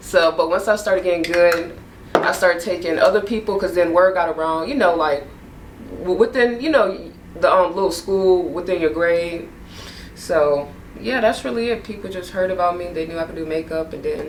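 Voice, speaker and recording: At a fairly low pitch, a woman speaks at a moderate pace with ordinary pitch variation, and the room echo is audible. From New Orleans. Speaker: makeup artist. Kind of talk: casual chat. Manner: animated.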